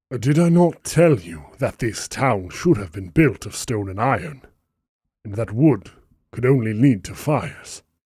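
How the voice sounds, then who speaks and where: Using a put-on character voice, a man speaks at a moderate pace. His pitch is medium, and the recording is very clean with a silent background. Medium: read story. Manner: calm, condescending.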